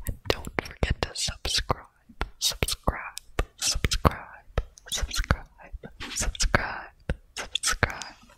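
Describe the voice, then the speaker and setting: Whispering, soft-spoken speech at a very slow pace, broken by long, frequent pauses. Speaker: ASMR creator. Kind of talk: soft ASMR outro chat. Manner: close soft ASMR whisper. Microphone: studio mic.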